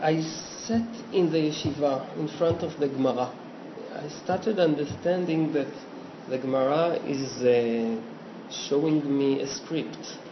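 A man with an Israeli accent speaks at a fairly slow pace, fairly high in pitch, with ordinary pitch variation and long, frequent pauses. Audible room echo and noticeable background noise fill the recording. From Israel, Petah Tikva. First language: Hebrew. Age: 40s. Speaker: cartoonist and illustrator. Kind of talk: casual interview. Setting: home studio. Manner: halting.

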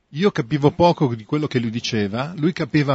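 A man talks very fast at a fairly high pitch with an Italian accent. His voice is somewhat breathy, with lively intonation. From Italy. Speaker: artist. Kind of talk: interpreted interview.

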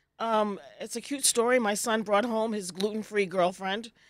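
A woman uses an ordinary speaking voice, talking at a medium pitch and a moderate pace. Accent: American. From US South, Virginia. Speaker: gluten-free food business owner. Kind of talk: casual chat.

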